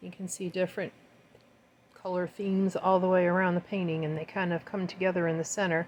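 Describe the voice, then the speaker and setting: A woman with a medium pitch talks at a fairly quick pace. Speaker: fluid art painter, video tutorial host. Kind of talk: tutorial. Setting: home art studio. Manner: casual and warm; fast.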